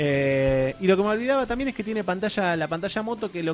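A man talks at a very fast pace with lively intonation in a Rioplatense accent. Background noise is noticeable. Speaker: podcast host. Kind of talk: casual chat.

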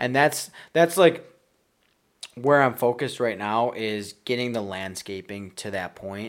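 In an American accent, a man talks at a fairly slow pace. His intonation is lively, with big swings in loudness. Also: medium pitch for a man. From Buffalo, New York. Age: 20s. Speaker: landscaping business owner and investor. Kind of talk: interview. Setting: house under renovation.

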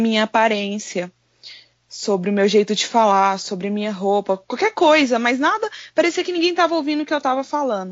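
A woman speaks in a normal speaking voice. Her pitch is fairly high and her intonation lively. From Goiânia, Brazil. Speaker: content creator. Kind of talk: casual chat.

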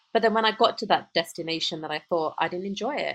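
Speaking at a very fast pace with an English accent, a woman uses a fairly low pitch and ordinary pitch variation. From United Kingdom. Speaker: podcast co-host, emotional intelligence coach. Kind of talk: casual chat. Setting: call.

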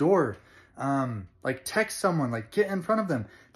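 Very wide pitch swings at a moderate pace, on a very clean recording with a silent background. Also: man. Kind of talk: angry rant. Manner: exasperated, fired-up, emphatic; blunt, impatient, then sighing and winding down.

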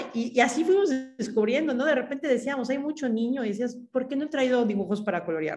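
Over music in the background, a woman speaks at a very fast pace in a high voice. Her intonation is lively. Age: 30s. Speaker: graphic designer and social project co-founder. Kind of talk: interview conversation.

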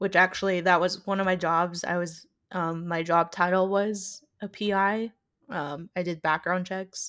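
A woman talks at a fairly slow pace with medium pitch. Her intonation is monotone and flat, in a very clean recording with a silent background. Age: 20s. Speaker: podcast co-host. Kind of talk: casual chat. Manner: giggly, many filler words.

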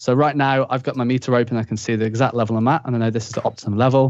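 With a Yorkshire accent, a man talks very fast at a medium pitch. The background is quiet. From northern England, Leeds. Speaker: music production instructor. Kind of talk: casual interview chat. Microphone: studio microphone with limiter.

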